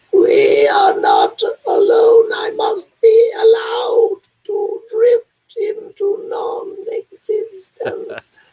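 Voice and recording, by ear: In a put-on character voice, the speaker talks very slowly at an extremely high pitch, raspy and with monotone, flat intonation.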